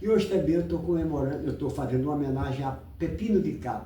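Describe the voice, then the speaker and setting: A man speaks at a fairly high pitch with lively intonation. Audible room echo surrounds his voice. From Brazil, countryside. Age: 80s+. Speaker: online commentator. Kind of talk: casual rant on football and politics. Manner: animated.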